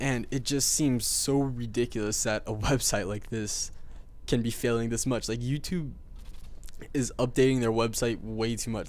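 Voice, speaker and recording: This man has a normal speaking voice, pitched medium, delivered at a moderate pace with fairly even intonation. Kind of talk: video game commentary. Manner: casual, rambling.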